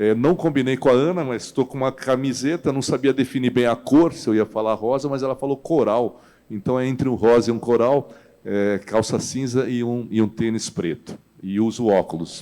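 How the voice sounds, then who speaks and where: With a dark, mellow tone, a man of medium pitch speaks at a moderate pace and ordinary pitch variation. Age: 60s. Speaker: financial industry executive. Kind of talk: panel discussion.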